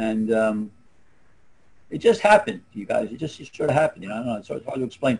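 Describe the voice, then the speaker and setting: In a Philadelphia accent, the speaker talks at a very fast pace with lively intonation, big swings in loudness and long, frequent pauses. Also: man, medium pitch for a man. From US Northeast, Philadelphia. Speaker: former adult film actor. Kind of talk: casual chat. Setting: video call.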